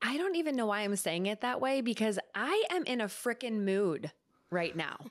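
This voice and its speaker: A woman talks at a moderate pace and a fairly high pitch, with very wide pitch swings. Her tone is animated and her loudness very even. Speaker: podcast co-host. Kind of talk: casual chat; casual podcast chat. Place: home room. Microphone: studio mic.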